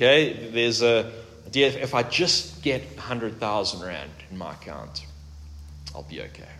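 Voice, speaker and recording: Speaking at a fairly slow pace and medium pitch, a man with a bright, sharp tone makes very wide pitch swings and big swings in loudness amid audible room echo. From South Africa. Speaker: pastor. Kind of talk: sermon.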